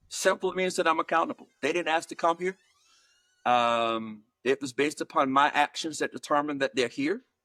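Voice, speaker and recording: The recording is very clean, with a silent background. A man with an American accent speaks at a fairly quick pace in a bright, sharp tone, his pitch swinging very widely. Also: dry, close sound with no echo. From US South, Georgia. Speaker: higher education leader and author. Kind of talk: interview. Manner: measured, with many fillers and repeats.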